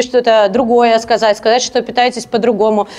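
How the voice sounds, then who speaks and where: Speaking at a fairly quick pace, a woman has a high pitch. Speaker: speaker. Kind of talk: lecture. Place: hall. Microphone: handheld.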